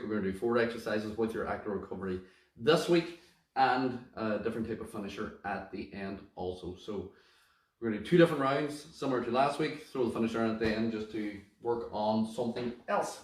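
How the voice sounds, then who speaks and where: With audible room echo, a man of medium pitch talks at a very fast pace and ordinary pitch variation. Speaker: fitness instructor. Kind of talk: workout class instruction.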